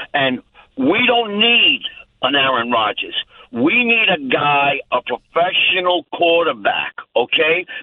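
At a very slow pace, the voice keeps its loudness very even while its pitch swings very widely. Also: man, high pitch for a man. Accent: American. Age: 70s. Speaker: radio caller. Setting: phone call. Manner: opinionated, grumpy.

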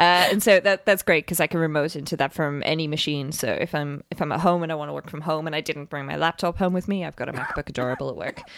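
A woman with a British accent speaks at a very fast pace with hardly any pauses. Her very deep, low voice has fairly even intonation, in a dry, close sound with no echo. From UK. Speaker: software developer. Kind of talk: casual chat.

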